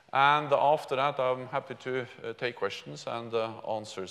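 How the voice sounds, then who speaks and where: The speaker is a man. He goes at a moderate pace. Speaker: keynote speaker. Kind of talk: speech. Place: hall. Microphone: lapel.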